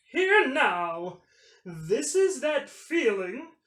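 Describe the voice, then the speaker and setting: In a put-on, high-pitched character voice, the speaker goes at a very slow pace with very wide pitch swings. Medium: read story. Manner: formal.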